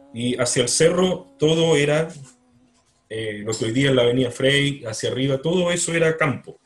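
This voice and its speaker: Speaking at a moderate pace, this man has a normal speaking voice. His fairly high pitch shows ordinary variation. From Chile, Punta Arenas. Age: 50s. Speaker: writer. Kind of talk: interview. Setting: video call.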